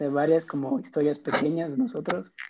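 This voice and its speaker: In a normal speaking voice, a man speaks at a moderate pace with a fairly high pitch. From Ecuador. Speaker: podcast host. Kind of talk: casual chat.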